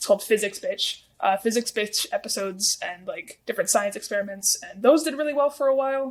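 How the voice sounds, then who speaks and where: A woman with a high pitch and lively intonation talks at a fairly quick pace with hardly any pauses and big swings in loudness. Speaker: TikTok creator. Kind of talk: interview. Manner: fast.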